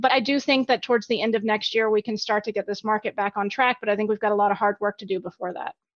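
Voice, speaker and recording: Speaking very fast with hardly any pauses, a woman with an American accent keeps a fairly high pitch and fairly even intonation. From US South, Alabama. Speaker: equity strategist. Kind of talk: interview.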